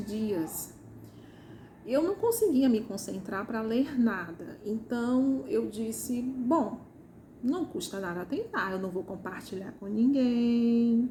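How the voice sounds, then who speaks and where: A high-pitched woman with a Ceará accent, very slow in pace and lively in intonation. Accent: Ceará, northeastern Brazilian. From Ceará, Brazil. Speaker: first-time novelist. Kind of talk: casual talk to camera.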